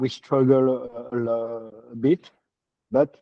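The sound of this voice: A man's medium-pitched voice with fairly even intonation at a slow pace, in a dry, close sound with no echo.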